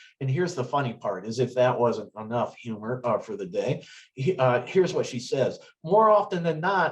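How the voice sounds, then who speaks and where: A man with an American accent, medium-pitched and somewhat breathy, at a moderate pace with very wide pitch swings. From US Midwest, northwest Ohio. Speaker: retired state trooper, driving safety presenter. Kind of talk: webinar presentation. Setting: online webinar. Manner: conversational, hesitant fillers.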